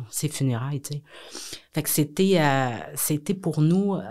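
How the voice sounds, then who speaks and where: Her voice is very deep and low, with a dark, mellow tone. The woman speaks at a fairly slow pace on a very clean recording with a silent background. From Quebec, south shore of Montreal. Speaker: businesswoman and philanthropist. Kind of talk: podcast interview. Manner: hesitant, many fillers.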